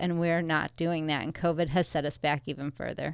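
In a quiet background, a woman speaks with a fairly low pitch and a monotone, flat intonation. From US Midwest, Chicago suburbs (Wheaton, Illinois). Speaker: political candidate. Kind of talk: radio interview.

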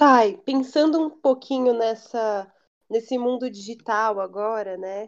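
Fairly slow delivery in a normal speaking voice, pitch varying in an ordinary way. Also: woman, fairly high pitch for a woman. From São Paulo area, Brazil. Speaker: podcast host. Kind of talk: casual interview.

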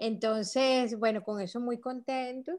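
Over a very clean recording with a silent background, a woman with high pitch and a dark, mellow tone speaks at a fairly slow pace. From Venezuela. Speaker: filmmaker. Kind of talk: interview.

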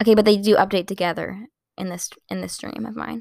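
A woman's medium-pitched voice with vocal fry, dry and close with no echo, in a very clean recording with a silent background. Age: 20s. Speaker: podcaster. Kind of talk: casual solo podcast chat. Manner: fast talker; sarcastic, laughs often.

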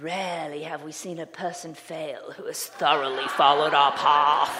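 A put-on character voice at a middle pitch comes through with clear background noise. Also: moderate pace. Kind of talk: formal, theatrical.

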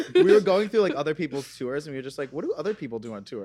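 A man speaks over noticeable background noise. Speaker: podcast guest. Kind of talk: casual chat.

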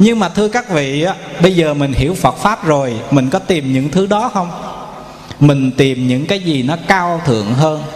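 Lively intonation moves along at a moderate pace against noticeable background noise. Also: man, fairly high pitch for a man. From Vietnam, Bình Định. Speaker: Buddhist monk. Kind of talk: sermon. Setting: temple hall with audience.

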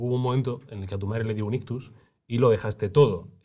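On a very clean recording with a silent background, a man talks at a fairly quick pace in a dark, mellow, somewhat breathy tone with ordinary pitch variation. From Granada, Spain. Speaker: podcast interviewer. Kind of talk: casual interview.

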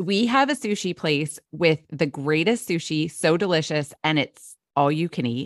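Speaking at a moderate pace with hardly any pauses, the voice has an American accent and lively intonation. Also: woman, very deep, low pitch for a woman, dry, close sound with no echo, very clean recording, silent background. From South Jersey. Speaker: foster parent and blogger. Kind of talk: interview conversation.

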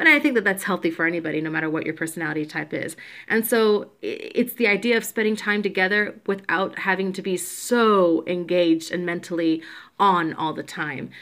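Speaking at a fairly quick pace, a woman has a plain, everyday voice with a medium pitch and ordinary pitch variation. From US South, Georgia (born in Puerto Rico). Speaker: podcast co-host. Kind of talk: casual chat. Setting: at home.

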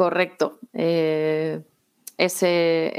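In a very clean recording with a silent background, a woman talks in a monotone, flat intonation at a fairly low pitch. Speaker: civil servant, exam prep contributor. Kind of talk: interview.

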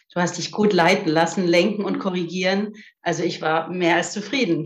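Audible room echo surrounds a woman with a fairly low pitch. She talks at a moderate pace with fairly even intonation. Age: 50s. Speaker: physiotherapist. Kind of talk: casual interview.

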